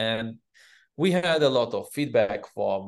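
A man with an Israeli accent at a very slow pace, against a quiet background. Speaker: cybersecurity company CEO. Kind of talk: interview. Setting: video call. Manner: halting.

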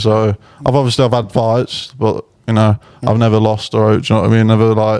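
A man speaks at a medium pitch with a dark, mellow tone and an East Midlands accent. His intonation stays monotone and flat. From Burton, near Derby. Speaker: musician. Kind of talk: casual chat.

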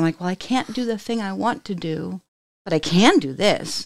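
In a very clean recording with a silent background, a woman of medium pitch speaks with lively intonation. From Germany, later Texas. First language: German. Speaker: podcast host. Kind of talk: casual interview chat.

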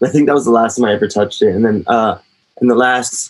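A normal speaking voice from a man with an American accent, fairly quick in pace, with ordinary pitch variation. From US. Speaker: hardcore drummer and DJ. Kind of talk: casual interview chat.

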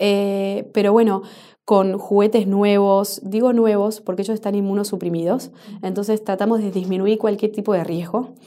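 A woman speaks at a medium pitch and a moderate pace. Her tone is dark and mellow, and her intonation monotone and flat. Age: 30s. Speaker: NGO founder. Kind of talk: interview. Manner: halting, with frequent repetitions.

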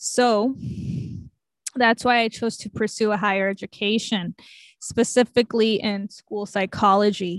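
Fairly high-pitched, a woman speaks slowly in a monotone, flat intonation with long, frequent pauses. The sound is dry and close with no echo over a quiet background. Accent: American. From Los Angeles area. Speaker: podcast co-host, school psychologist. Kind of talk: casual chat.

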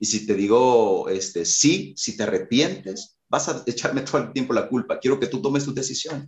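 With a Salvadoran accent, a man talks at a moderate pace and medium pitch, somewhat breathy, with lively intonation and hardly any pauses. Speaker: worship leader and musician. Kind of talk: casual interview chat.

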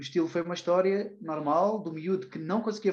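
A man speaks at a fairly quick pace with a high pitch. His intonation stays fairly even. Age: 20s. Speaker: personal development trainer and psychology student. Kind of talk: casual interview.

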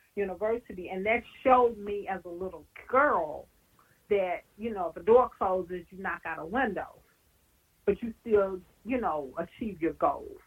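With a Southern US accent, a woman speaks at a moderate pace with lively intonation. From Louisiana. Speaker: professor. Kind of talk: oral history interview.

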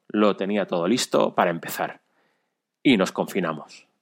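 An unremarkable speaking voice with ordinary pitch variation, on a very clean recording with a silent background. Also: man. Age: 40s. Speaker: amateur runner and cyclist. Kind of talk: recorded personal story.

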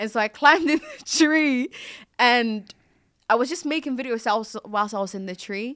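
Her voice sits high, and this woman talks at a moderate pace with lively intonation. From Ghana, then Belgium. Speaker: content creator and actress. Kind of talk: casual chat.

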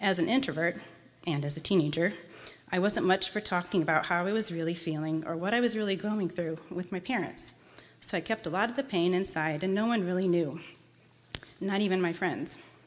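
Fairly quick, a woman speaks in an unremarkable speaking voice. Her pitch is medium, with ordinary pitch variation. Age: 40s. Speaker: church member giving testimony. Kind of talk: testimony. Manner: reading prepared text.

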